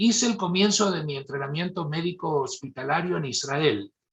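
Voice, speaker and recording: A man talks with vocal fry at a fairly high pitch. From Argentina, Mendoza. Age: 70s. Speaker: neurosurgeon. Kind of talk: lecture.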